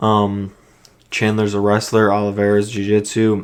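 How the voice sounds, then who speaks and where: Monotone and flat, a man talks at a fairly low pitch. His voice is quiet. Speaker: MMA fight predictor. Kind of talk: casual talk to camera.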